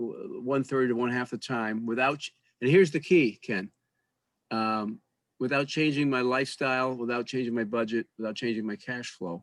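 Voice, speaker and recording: A man speaks at a moderate pace and medium pitch, his intonation fairly even. The sound is dry and close with no echo, over a quiet background. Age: 60s. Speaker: retired financial executive, debt coach. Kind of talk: interview. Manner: halting, many fillers and restarts.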